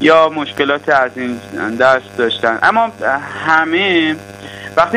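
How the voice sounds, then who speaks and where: A man with a fairly high voice talks over noticeable background noise. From Iran, Tehran. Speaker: physician and EMBA graduate giving testimonial. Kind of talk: testimony.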